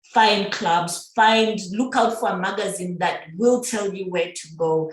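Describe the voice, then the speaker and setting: Over noticeable background noise and audible room echo, a woman at a medium pitch talks fairly slowly with ordinary pitch variation and big swings in loudness. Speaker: guest sharing experience of working abroad. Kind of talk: casual podcast interview.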